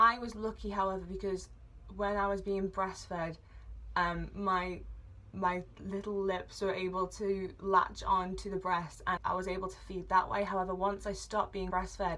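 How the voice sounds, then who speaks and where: In an English accent, a woman speaks at a moderate pace. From England. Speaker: vlogger. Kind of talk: personal vlog, medical history. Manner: hesitant with fillers.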